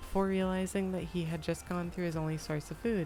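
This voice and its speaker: Music plays in the background as a woman speaks. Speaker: VTuber streamer. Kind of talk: light novel read aloud on stream. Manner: soft ASMR voice.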